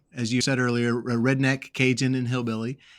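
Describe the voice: A man talks at a fairly quick pace with an American accent. His pitch shows little movement. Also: medium pitch for a man.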